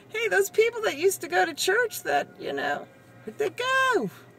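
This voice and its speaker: A woman in an American accent talks at a moderate pace while music plays in the background. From Massachusetts, Cape Cod. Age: 40s. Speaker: retail worker vlogger. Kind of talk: casual vlog monologue. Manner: rambling, conversational.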